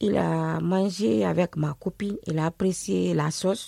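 Recorded dry and close with no echo, a woman speaks at a very slow pace in a dark, mellow tone, her pitch fairly low. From Guinea, Conakry. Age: 40s. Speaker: survivor of domestic violence, asylum seeker. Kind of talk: personal testimony.

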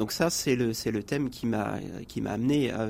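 He has an ordinary speaking voice. The man's pitch is medium, with ordinary pitch variation. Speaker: ecology columnist and nature conservation worker. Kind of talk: radio interview discussion. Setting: radio studio.

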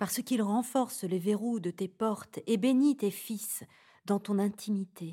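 A woman's somewhat breathy, dark, mellow voice, medium in pitch, with a calm tone, ordinary pitch variation and a fairly slow pace. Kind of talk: guided meditation and prayer. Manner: calm, slow, reverent.

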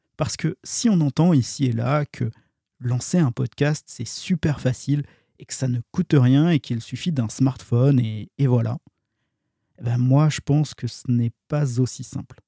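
Dry and close with no echo, a man's somewhat breathy voice has a dark, mellow tone, a medium pitch with ordinary variation, and a fairly slow pace. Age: 40s. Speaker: podcast host. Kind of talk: monologue intro.

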